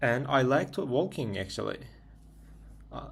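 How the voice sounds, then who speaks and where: Vocal fry runs through the man's medium-pitched voice. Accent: Turkish. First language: Turkish. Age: 20s. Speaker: vlogger. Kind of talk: casual monologue. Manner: halting; self-correcting.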